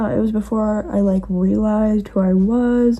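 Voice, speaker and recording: A woman's medium-pitched voice has a dark, mellow tone and a somewhat breathy quality. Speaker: vlogger. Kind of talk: casual chat. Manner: fast.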